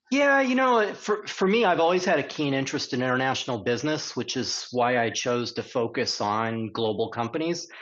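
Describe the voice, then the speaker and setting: In an unremarkable speaking voice with an American accent, the talk runs at a fairly quick pace with lively intonation and hardly any pauses. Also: man, medium pitch for a man. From United States. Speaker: corporate tax executive. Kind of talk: podcast interview.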